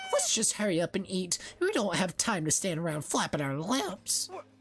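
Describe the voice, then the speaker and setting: A put-on character voice at middle pitch moves along at a moderate pace. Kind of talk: gruff, commanding. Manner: angry, barking.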